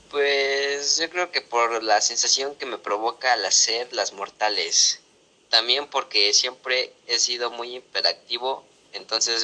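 The man's voice sits at a medium pitch with ordinary pitch variation. He speaks at a very slow pace. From Mexico City. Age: 20s. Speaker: parkour athlete. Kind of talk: interview.

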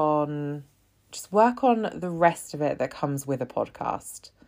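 A woman at a fairly slow pace with very wide pitch swings, in a very clean recording with a silent background. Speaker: solo podcast host. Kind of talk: casual solo monologue.

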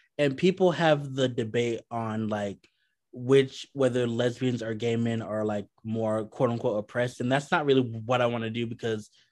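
Over a quiet background, a man talks at a moderate pace in a medium-pitched voice with ordinary pitch variation. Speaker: podcast co-host. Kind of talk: casual chat. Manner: animated, bantering.

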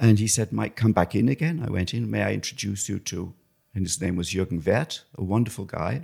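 This man talks at a fairly quick pace in a fairly low pitch with vocal fry. The recording is very clean, with a silent background. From England. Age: 60s. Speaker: photographer. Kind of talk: casual interview.

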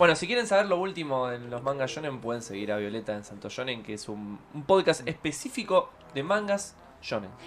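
A man with a Rioplatense accent speaks at a fairly high pitch, with very wide pitch swings and big swings in loudness. Noticeable background noise is present. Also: fairly quick pace. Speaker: manga podcast host. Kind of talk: casual live-stream chat. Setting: studio.

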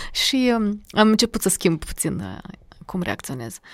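This very clean recording, with a silent background, has a dry, close sound with no echo. A woman with an ordinary speaking voice talks at a fairly high pitch and a fairly slow pace. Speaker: diction and public speaking coach. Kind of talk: casual interview.

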